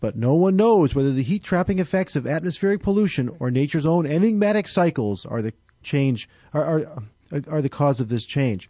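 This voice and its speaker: Lively intonation from a man, his voice somewhat breathy. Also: fairly quick pace. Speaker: radio co-host. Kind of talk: radio interview. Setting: studio.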